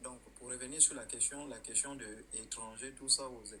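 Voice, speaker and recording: A bright, sharp tone with vocal fry comes through audible room echo. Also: man. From Gabon. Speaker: live streamer. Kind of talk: live stream chat. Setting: rented apartment, lying on bed. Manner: deliberately quiet; loud.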